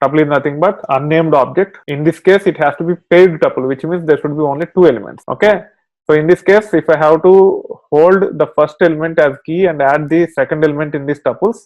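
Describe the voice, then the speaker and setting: An ordinary speaking voice, a man's, comes at a fairly quick pace with fairly high pitch and fairly even intonation, recorded dry and close with no echo against a quiet background. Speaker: programming instructor. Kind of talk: tutorial.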